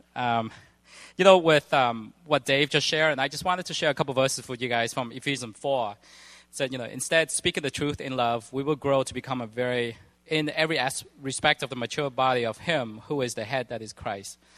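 A man with an unremarkable speaking voice talks at medium pitch and a fairly quick pace with ordinary pitch variation, in a dry, close sound with no echo against a quiet background. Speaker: church leader. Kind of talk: church announcements. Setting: church.

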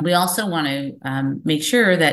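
A woman's unremarkable speaking voice, fairly low in pitch, with ordinary pitch variation and a moderate pace. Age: 40s. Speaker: physician, medical director. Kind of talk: webinar presentation.

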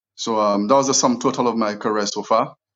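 A man speaks with a Saint Lucian accent. His pace is fairly quick. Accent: St. Lucian English. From St. Lucia (south, village). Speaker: property investor. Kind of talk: interview.

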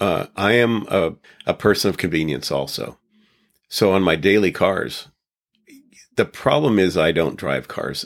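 With vocal fry in his very deep, low voice, a man swings very widely in pitch. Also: very clean recording, silent background. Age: 60s. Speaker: Porsche mechanic. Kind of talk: interview.

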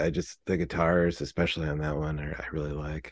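The man has an American accent and talks at a very fast pace. The background is quiet. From Southern California (Fullerton). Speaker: musician, singer-songwriter. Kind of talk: casual interview chat.

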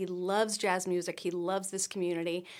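An ordinary speaking voice from a woman, medium in pitch and moderate in pace, on a very clean recording with a silent background. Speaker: singer and graphic designer. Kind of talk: casual chat. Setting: studio.

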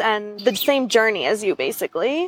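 A woman with a Western New York accent speaks in a fairly high voice. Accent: American, Western New York. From Buffalo, New York. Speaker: brand designer. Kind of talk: interview. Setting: outdoors on a park bench.

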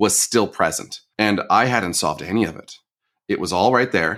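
Here a man uses a plain, everyday voice at a fairly low pitch and moderate pace, in a very clean recording with a silent background. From northern Michigan. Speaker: coach and podcaster. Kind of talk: interview.

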